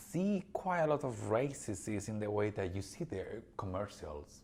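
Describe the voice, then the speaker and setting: At a moderate pace, a man with a fairly low pitch and a somewhat breathy voice speaks with lively intonation. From Spain. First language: Spanish. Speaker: podcast co-host. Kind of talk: casual chat. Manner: animated.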